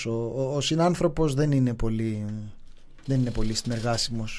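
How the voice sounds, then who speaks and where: A man talks at a fairly slow pace in a dark, mellow tone with ordinary pitch variation. Audible room echo surrounds his voice. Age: 40s. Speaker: podcast co-host. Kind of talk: casual chat. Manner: laughing.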